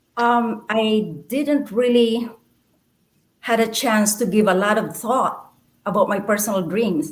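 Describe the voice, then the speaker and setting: A woman speaks very slowly in a fairly high voice. The room echo is audible. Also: ordinary pitch variation. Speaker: poet and former nurse. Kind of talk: interview.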